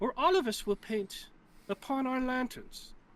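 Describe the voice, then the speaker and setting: A squeaky, female-sounding voice delivers a put-on character voice. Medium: actual play.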